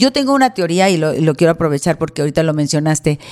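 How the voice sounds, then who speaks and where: A woman uses a normal speaking voice, fairly low in pitch, with lively intonation. The recording is very clean, with a silent background. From Mexico, Monterrey. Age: 60s. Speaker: celebrity stylist and salon owner. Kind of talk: casual interview.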